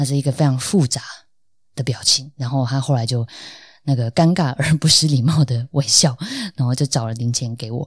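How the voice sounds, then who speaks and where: A somewhat breathy woman speaks at a fairly quick pace with a very deep, low pitch and fairly even intonation, leaving long, frequent pauses in a very clean recording with a silent background and a dry, close sound with no echo. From Taiwan, Tainan. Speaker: podcast host. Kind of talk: solo podcast monologue. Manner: casual, with frequent fillers.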